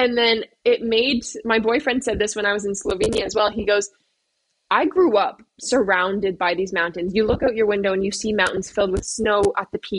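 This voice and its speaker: With a Canadian accent, a woman talks at a fairly quick pace in a fairly high pitch. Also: ordinary pitch variation. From Nova Scotia, eastern Canada. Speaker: veterinary student. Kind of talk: casual interview chat. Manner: animated.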